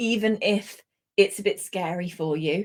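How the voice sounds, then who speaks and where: A woman is speaking. She has a British accent. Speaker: English language instructor. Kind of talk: online lesson.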